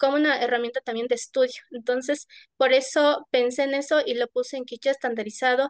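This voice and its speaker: In a dry, close recording with no echo, a woman with an Ecuadorian accent speaks in a high pitch with fairly even intonation. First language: Kichwa (speaking Spanish). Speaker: poet. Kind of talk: panel discussion. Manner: halting.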